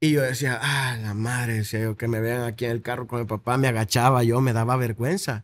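Over a quiet background, a man at medium pitch talks at a fairly quick pace with fairly even intonation and hardly any pauses. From El Salvador, Soyapango; El Salvador. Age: 20s. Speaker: content creator. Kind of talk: interview. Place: studio. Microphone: studio mic.

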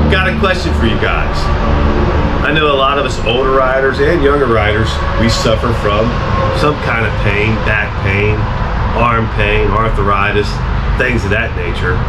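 A man speaks with long, frequent pauses while music plays in the background. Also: moderate pace. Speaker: motorcycle vlogger. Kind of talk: casual vlog chat. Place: garage.

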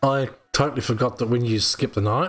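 Faint music plays in the background as the speaker talks at a fairly quick pace, with a fairly bright tone and ordinary pitch variation. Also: man, medium pitch for a man.

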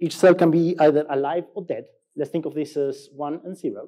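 A man talks at a fairly quick pace in an Argentine accent. The background stays quiet. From Argentina. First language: Spanish. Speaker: software engineer, conference speaker; conference speaker. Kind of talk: conference talk. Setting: stage with audience. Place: stage.

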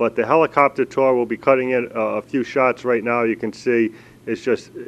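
The pace stays moderate. It is a man who speaks. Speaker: travel show host. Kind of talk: interview host commentary. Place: street. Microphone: handheld.

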